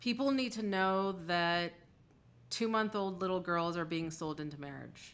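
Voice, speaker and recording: A woman's fairly low voice, animated in tone with ordinary pitch variation, at a fairly slow pace on a very clean recording with a silent background. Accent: American. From US, Iranian diaspora family. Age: 40s. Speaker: podcast host and activist. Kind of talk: interview conversation.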